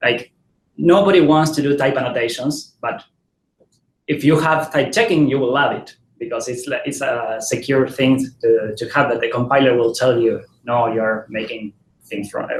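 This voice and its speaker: This voice is somewhat breathy and carries a Spanish accent. It moves at a moderate pace with ordinary pitch variation. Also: man, medium pitch for a man. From Argentina. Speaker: software developer, conference speaker. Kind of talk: tech talk. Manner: halting, many fillers and repetitions.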